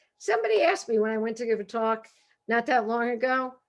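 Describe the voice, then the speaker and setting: A woman with a Brooklyn accent, fairly high in pitch, at a fairly quick pace. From Brooklyn, New York. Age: 60s. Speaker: humorist and professor. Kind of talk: author talk. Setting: video call. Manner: animated.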